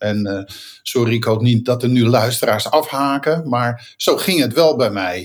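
This man has a plain, everyday voice at medium pitch. He speaks at a fairly slow pace with ordinary pitch variation. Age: 60s. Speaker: continuous improvement consultant and software founder. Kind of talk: interview.

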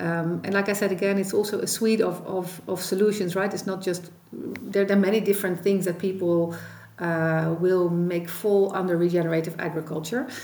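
Speaking with a Dutch accent in a dark, mellow tone, the voice holds a moderate pace. Its intonation is monotone and flat, with audible room echo. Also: woman, medium pitch for a woman. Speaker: policy expert, former minister. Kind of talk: expert interview.

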